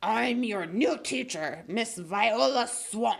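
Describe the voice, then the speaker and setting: Using a put-on character voice, a woman speaks very slowly at a fairly high pitch, raspy and hissing. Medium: read story. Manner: snapping, stern, menacing.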